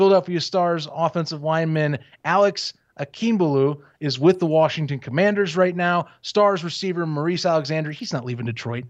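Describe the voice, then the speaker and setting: Here a man has an ordinary speaking voice, a fairly high pitch and ordinary pitch variation. He talks at a fairly quick pace over a quiet background. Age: 20s. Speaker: sports podcast host. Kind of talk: casual chat. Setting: video call.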